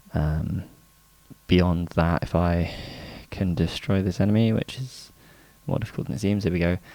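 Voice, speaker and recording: Speaking at a moderate pace with long, frequent pauses, a man uses a very deep, low voice with a dark, mellow tone and ordinary pitch variation, in a dry sound with no echo. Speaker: indie game developer. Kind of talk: dev log vlog. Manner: casual, hesitant with many fillers. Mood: upbeat, smiling. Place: home room. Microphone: studio mic.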